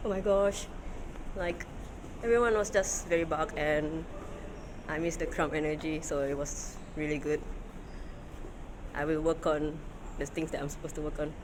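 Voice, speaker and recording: The speaker goes at a moderate pace with long, frequent pauses, and there is noticeable background noise. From Singapore. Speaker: vlogger. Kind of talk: vlog narration. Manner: animated.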